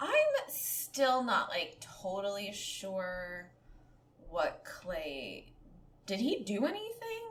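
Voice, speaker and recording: A woman speaks at a very slow pace with long, frequent pauses. Noticeable background noise and audible room echo fill the recording. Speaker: podcast co-host. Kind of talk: casual chat. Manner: slightly slurred speech.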